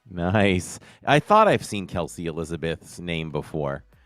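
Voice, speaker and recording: A man with an American accent and a very deep, low pitch, ordinary pitch variation, on a very clean recording with a silent background and a dry, close sound with no echo. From Boston, Massachusetts. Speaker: podcast host. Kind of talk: live stream chat. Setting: live stream.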